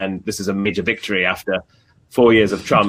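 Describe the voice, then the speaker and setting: A bright, sharp tone comes with a British accent and monotone, flat intonation. The pace is fairly quick, on a very clean recording with a silent background. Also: man. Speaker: journalist. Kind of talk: interview. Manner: halting, many repetitions.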